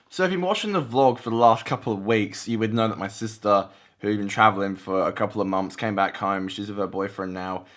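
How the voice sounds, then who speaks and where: On a very clean recording with a silent background, a man with an Australian accent talks at a very fast pace with hardly any pauses. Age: 20s. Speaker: vlogger. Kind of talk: casual vlog talk to camera. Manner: halting, many repeated words.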